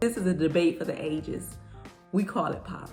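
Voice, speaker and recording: The voice comes with an American accent. Music plays in the background. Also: woman. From Detroit, Michigan. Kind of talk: casual talk to camera.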